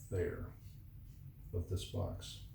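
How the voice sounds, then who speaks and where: Mumbling, a man speaks at a very slow pace. The recording carries audible room echo and noticeable background noise. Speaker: painter. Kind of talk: tutorial.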